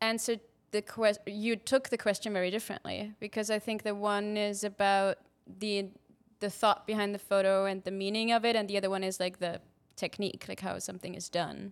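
Recorded very cleanly against a silent background, a woman talks at a fairly quick pace with a medium pitch. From Austria. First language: German. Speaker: photography company manager. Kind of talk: casual chat. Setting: studio.

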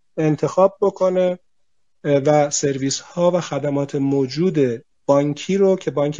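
This man's pitch sits fairly high, with ordinary variation. He has an unremarkable speaking voice. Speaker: CEO of a bank technology holding. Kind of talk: panel discussion. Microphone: connection dropped.

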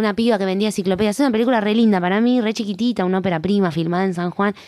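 Speaking very fast with fairly even intonation, a woman in a Rioplatense accent holds a medium pitch on a very clean recording with a silent background. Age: 40s. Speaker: actress and playwright. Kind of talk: interview. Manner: halting.

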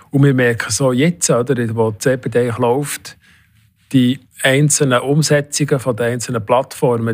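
An unremarkable speaking voice comes at a fairly slow pace. The intonation stays fairly even. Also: man. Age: 60s. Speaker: head of national eHealth coordination office. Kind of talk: interview.

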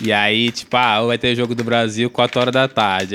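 A flat, monotone delivery at a moderate pace. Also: man. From Brazil. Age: 30s. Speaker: podcast co-host. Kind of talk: casual chat.

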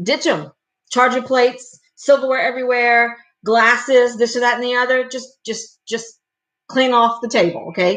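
Pitched high, a woman talks at a moderate speed, her pitch moving in an ordinary way. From Louisiana, Cajun. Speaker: wedding planner. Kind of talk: casual live stream talk. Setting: home live stream on webcam. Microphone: laptop webcam audio.

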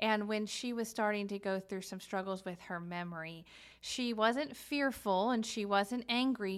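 A woman speaks at a fairly high pitch and a moderate pace in a normal speaking voice. The recording is very clean, with a silent background. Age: 40s. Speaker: podcast co-host. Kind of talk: casual chat.

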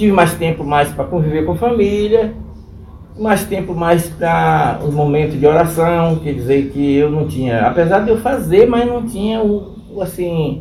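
There is noticeable background noise and audible room echo as a man with a high pitch talks at a moderate pace with ordinary pitch variation. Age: 60s. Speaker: elderly interviewee, small farm owner. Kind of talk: interview testimony.

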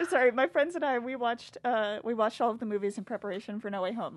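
A woman in an unremarkable speaking voice talks at a fairly quick pace and a fairly high pitch. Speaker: college student guest. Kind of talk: casual chat.

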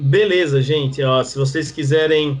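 The man's voice is somewhat breathy. His pitch sits fairly high. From Northeast Brazil (João Pessoa, Paraíba). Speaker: pastor. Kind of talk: podcast interview, teaching. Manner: halting, many fillers.

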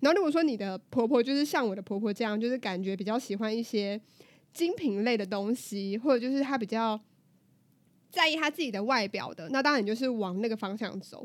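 A woman with an unremarkable speaking voice talks at a fairly quick pace. She has a fairly high pitch and lively intonation. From southern Taiwan. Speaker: podcast co-host. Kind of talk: casual chat.

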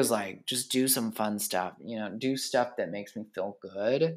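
A man speaks with lively intonation. The recording is very clean, and the background is silent. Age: 20s. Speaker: podcast host. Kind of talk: solo casual monologue. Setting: home living room. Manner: rambling.

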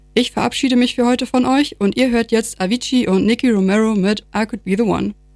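An ordinary speaking voice, a woman's at a fairly high pitch, moves at a fairly quick pace with fairly even intonation. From Lower Saxony, Vechta district. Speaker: student radio presenter. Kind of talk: radio presenting.

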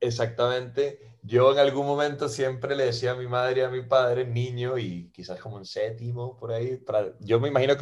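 Somewhat breathy, a man talks at a fairly quick pace with medium pitch and fairly even intonation. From Costa Rica. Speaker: advertising creative and musician. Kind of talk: casual interview.

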